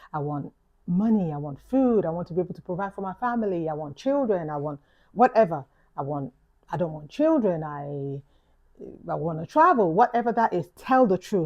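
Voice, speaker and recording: A woman with a London accent talks at a fairly quick pace in a fairly low voice. Her pitch swings very widely and her loudness shifts in big swings. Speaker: YouTuber vlogger. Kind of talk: reflective vlog talk. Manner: casual, conversational.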